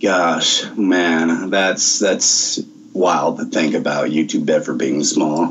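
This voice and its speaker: A man talks at a very slow pace. Noticeable background noise runs underneath. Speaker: voice actor. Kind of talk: interview over video call. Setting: Skype call. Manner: relaxed.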